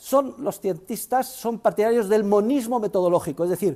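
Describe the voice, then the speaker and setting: The voice belongs to a man with a dark, mellow tone. His intonation is lively. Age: 60s. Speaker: university professor. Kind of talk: lecture.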